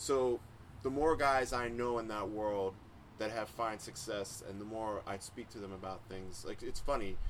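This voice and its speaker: A man speaks in a normal speaking voice, medium in pitch. His pace is moderate and his intonation fairly even. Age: 40s. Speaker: music producer and podcast host. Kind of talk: casual chat.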